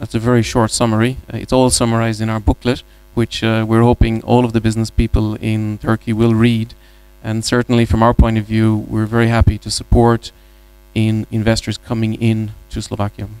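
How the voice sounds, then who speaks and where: This man talks fairly quickly with an Irish accent. His intonation stays monotone and flat. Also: medium pitch for a man. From Ireland. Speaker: business executive. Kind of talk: panel discussion. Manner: hesitant, many fillers.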